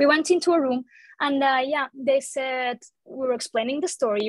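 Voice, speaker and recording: A woman speaks at a high pitch. Her pitch varies in an ordinary way, and her pace is moderate. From Portugal. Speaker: traveler forced into quarantine, interviewee. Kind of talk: interview testimony. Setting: sit-down interview. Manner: halting, many repetitions and restarts.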